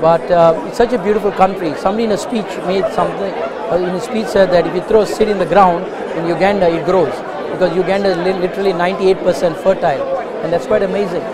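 The background noise is loud. Over it, a man speaks very fast. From Uganda. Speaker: convention attendee. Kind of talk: interview. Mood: warm, enthusiastic. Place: hall. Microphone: lapel.

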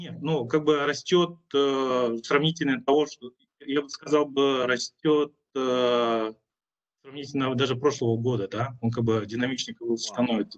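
An ordinary speaking voice from a man, medium in pitch, at a fairly slow pace, with fairly even intonation, big swings in loudness and a quiet background. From Kyrgyzstan. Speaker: startup entrepreneur; panelist. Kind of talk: panel discussion. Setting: video call. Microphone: video call.

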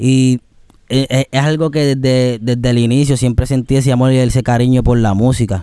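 At a moderate pace, a man with a dark, mellow tone speaks with fairly even intonation and very even loudness, the sound dry with no echo and the background quiet. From Puerto Rico. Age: 20s. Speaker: singer; guest. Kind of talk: interview. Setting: outdoors. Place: garden. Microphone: studio mic.

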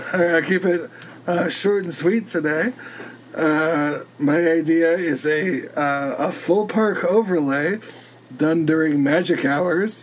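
Very slow, high-pitched speech from a man, with ordinary pitch variation over noticeable background noise. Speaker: podcast co-host. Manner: brief, to the point.

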